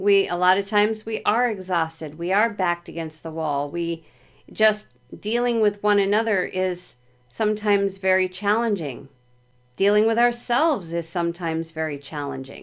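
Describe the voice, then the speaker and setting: A woman's medium-pitched voice keeps a moderate pace and shows ordinary variation in pitch. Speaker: tarot reader. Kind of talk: tarot reading. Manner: soft-spoken.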